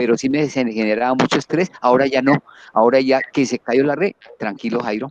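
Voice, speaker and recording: Recorded with a dry, close sound and no echo, a man talks fairly quickly at a medium pitch with ordinary pitch variation. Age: 60s. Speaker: university lecturer. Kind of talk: casual testimony in online talk. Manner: halting.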